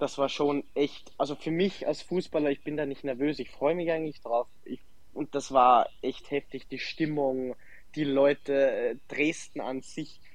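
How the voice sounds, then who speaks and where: Speaking fairly slowly, a man with a fairly high voice keeps a monotone, flat intonation. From Austria, Salzburg. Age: 20s. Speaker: professional footballer. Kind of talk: interview. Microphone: connection problems.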